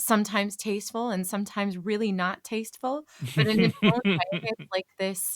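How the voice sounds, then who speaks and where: In an American accent, a woman speaks at a medium pitch with ordinary pitch variation, her voice dry and close with no echo on a very clean recording with a silent background. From California. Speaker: voice actor and comedian. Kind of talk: podcast interview answer. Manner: hesitant, chatty.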